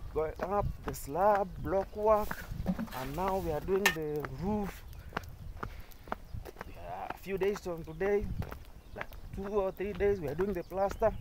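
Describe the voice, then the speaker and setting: With a high pitch, a man speaks at a very slow pace, with long, frequent pauses and fairly even intonation. Noticeable background noise comes through, and the sound is dry with no echo. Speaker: builder vlogger. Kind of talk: casual vlog chat. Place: open country. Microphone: phone near.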